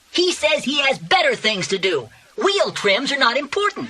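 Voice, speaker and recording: This is a put-on character voice pitched high. It swings very widely in pitch. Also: moderate pace. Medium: read story. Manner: eager, youthful.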